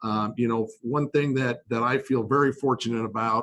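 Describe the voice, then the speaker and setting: A man with an unremarkable speaking voice talks at medium pitch and a moderate pace with fairly even intonation. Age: 50s. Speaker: company president and CEO. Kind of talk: casual interview.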